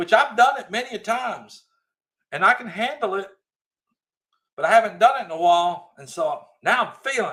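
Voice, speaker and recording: A man with a Southern US accent talks fairly quickly at a high pitch, animated in tone and lively in intonation. His loudness swings widely, and long pauses come often. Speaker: livestream host. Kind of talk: casual live chat reading comments. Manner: animated, raised voice.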